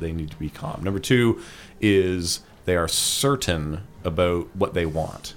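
In a Canadian accent, a man speaks at a fairly slow pace, his very deep, low pitch varying an ordinary amount. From Ottawa, Canada. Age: 30s. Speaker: freelance motion designer and instructor. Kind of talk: interview conversation.

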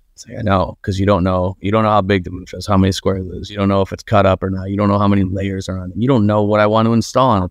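A man with an American accent speaks very fast at a fairly low pitch against a quiet background. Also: hardly any pauses. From Buffalo, New York. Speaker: marketing agency owner. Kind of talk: podcast interview. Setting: video call.

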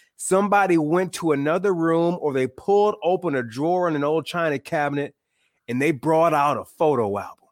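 On a very clean recording with a silent background, a man speaks at a fairly quick pace in a fairly high pitch with ordinary pitch variation, a plain, everyday voice. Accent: American. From Michigan, small town. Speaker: author and podcast host. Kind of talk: casual interview chat.

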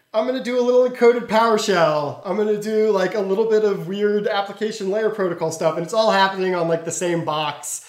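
A high-pitched man at a very fast pace, with ordinary pitch variation and noticeable background noise. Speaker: security company interviewee. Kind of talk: interview.

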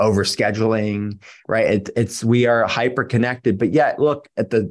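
With an American accent and a normal speaking voice, a man talks at a moderate pace and a fairly low pitch with fairly even intonation, in a very clean recording with a silent background. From Pittsburgh, Pennsylvania. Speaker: functional medicine doctor. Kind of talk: interview.

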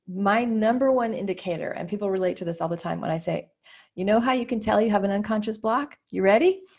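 A woman talks at a very fast pace in a medium pitch, somewhat breathy, with ordinary pitch variation against a quiet background. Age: 50s. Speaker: business coach, former psychotherapist. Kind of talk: interview chat.

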